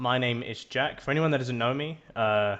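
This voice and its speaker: At a moderate pace, the man delivers his words in a medium pitch. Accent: English. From England. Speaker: podcast host, shaving business employee. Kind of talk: casual podcast chat.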